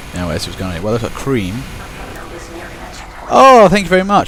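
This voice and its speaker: Speaking at a very fast pace with long, frequent pauses, a man makes very wide pitch swings and big swings in loudness, amid audible room echo and noticeable background noise. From Kent, southeast England. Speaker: video game commentator. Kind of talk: live commentary. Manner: casual, rambling with hesitations.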